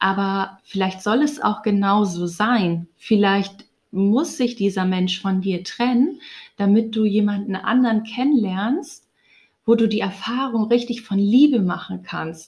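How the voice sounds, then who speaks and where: A woman talks at a very slow pace in a medium pitch. Her voice is somewhat breathy. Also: ordinary pitch variation. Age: 30s. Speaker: spiritual podcaster. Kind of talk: personal monologue. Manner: hesitant, many fillers.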